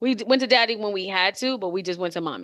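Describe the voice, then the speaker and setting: A woman speaks loudly and fairly quickly in a bright, sharp tone at medium pitch. Her pitch varies in an ordinary way, and the background is quiet. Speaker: podcast co-host. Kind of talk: casual chat.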